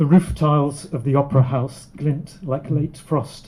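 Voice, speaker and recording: The voice is somewhat breathy, with a dark, mellow tone. It moves at a moderate pace with fairly even intonation. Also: man. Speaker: poet. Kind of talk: poem performed. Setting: live audience.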